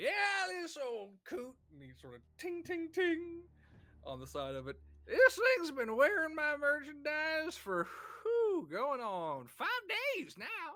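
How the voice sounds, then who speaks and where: In a put-on character voice, the speaker talks at a high pitch and a fairly slow pace. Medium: actual play. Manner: folksy, joking salesman patter.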